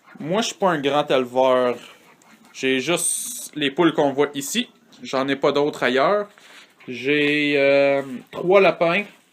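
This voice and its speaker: With a Canadian French accent, a man speaks very slowly at a fairly high pitch, with ordinary pitch variation and long, frequent pauses. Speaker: hobby farmer. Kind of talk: casual video tour. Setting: in a henhouse. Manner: hesitant, many filler sounds.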